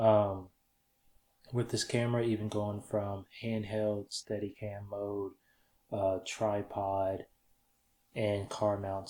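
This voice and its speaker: A quiet man, fairly low-pitched and monotone, on a very clean recording with a silent background. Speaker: filmmaker and camera gear YouTuber. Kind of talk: tutorial. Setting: home studio. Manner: quiet, low audio.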